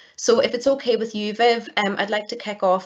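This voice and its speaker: In a Northern Irish accent, a woman talks at a very fast pace. Her pitch is medium. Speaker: data protection regulator staff, question moderator. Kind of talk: webinar Q&A moderation. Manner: hesitant with many repeated words.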